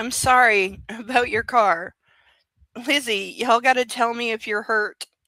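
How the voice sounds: A woman's put-on character voice in a strong Southern accent, raspy and fairly high-pitched, at a moderate pace, with dry, close sound, no echo, and a silent background in a very clean recording. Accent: thick southern.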